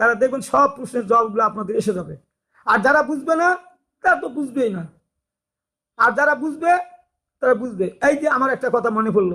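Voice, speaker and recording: The voice is raised and projected, with a bright, sharp tone and lively intonation. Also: man, extremely high pitch for a man. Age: 60s. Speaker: religious YouTuber. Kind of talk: religious talk. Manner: halting.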